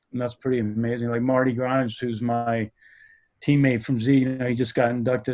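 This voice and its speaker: The man's delivery moves along fairly quickly. His pitch stays monotone and flat throughout. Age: 60s. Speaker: skateboarder. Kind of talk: interview. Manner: halting.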